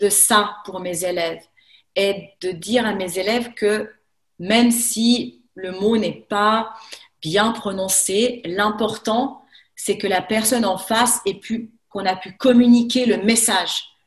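A woman's fairly high, somewhat breathy voice at a very slow pace with fairly even intonation. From France, Haute-Savoie near Lake Geneva. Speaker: French teacher. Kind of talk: casual chat. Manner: halting.

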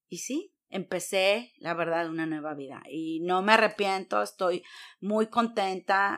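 With a normal speaking voice, a woman talks at a fairly slow pace with ordinary pitch variation. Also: very clean recording, silent background. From Mexico, Veracruz. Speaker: entrepreneur. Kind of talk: interview.

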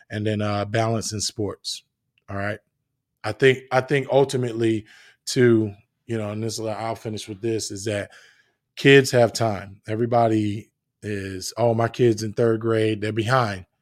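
A man with an American accent, medium pitch, moderate pace, monotone flat intonation and big swings in loudness, on a very clean recording with a silent background. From New Jersey. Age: 30s. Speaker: podcast host. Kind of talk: casual monologue. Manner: relaxed, filler-heavy.

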